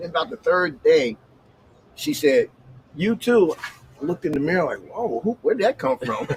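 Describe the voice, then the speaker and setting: Fairly quick yet broken by long, frequent pauses, a man's speech swings very widely in pitch. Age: 60s. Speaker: bus driver and former shelter resident. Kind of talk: casual chat. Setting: livestream.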